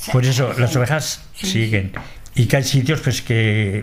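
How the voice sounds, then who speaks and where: Somewhat breathy, a man speaks at a medium pitch with ordinary pitch variation. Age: old. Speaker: transhumant shepherd. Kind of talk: interview. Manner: halting.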